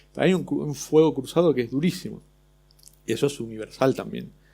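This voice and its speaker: A man talks in a dark, mellow tone with an Argentine accent. The recording is very clean, with a silent background. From Argentina. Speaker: illustrator. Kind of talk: panel discussion. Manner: halting.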